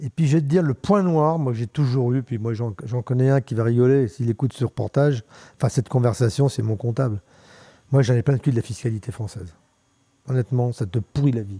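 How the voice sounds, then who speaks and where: At a fairly quick pace, a man with a medium pitch speaks in a dark, mellow, somewhat breathy tone with ordinary pitch variation, the sound dry and close with no echo. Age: 70s. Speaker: mountain bike pioneer and former bar owner. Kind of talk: casual interview chat. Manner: halting, many repetitions and fillers.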